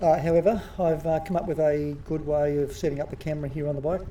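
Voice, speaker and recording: Speaking at a very fast pace, a man with an Australian accent uses a fairly high pitch and fairly even intonation. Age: 50s. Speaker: amateur masters mountain bike racer and vlogger. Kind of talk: voice-over commentary on race footage. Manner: hesitant, many fillers.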